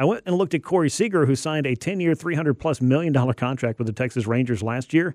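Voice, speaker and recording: A man's very fast, lively speech in an American accent, fairly high-pitched, with hardly any pauses, dry and close with no echo, against a quiet background. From Georgia, US South. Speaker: sports radio host. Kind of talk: sports talk radio. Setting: radio studio.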